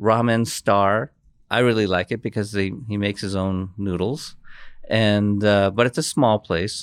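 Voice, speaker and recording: A man with an American accent uses an ordinary speaking voice at a fairly low pitch, with fairly even intonation at a fairly slow pace. The recording is very clean, dry and close, with a silent background and no echo. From Japan. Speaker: author. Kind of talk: interview.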